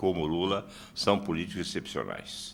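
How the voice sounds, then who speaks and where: This man's pitch is very deep and low. His tone is bright and sharp. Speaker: philosophy professor. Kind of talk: heated debate.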